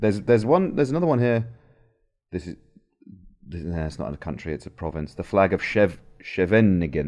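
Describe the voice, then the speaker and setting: A man speaks fairly quickly with a very deep, low pitch and very wide pitch swings. His loudness swings widely, and he leaves long, frequent pauses. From English Midlands, Stratford-upon-Avon. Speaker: political podcast host. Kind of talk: casual chat.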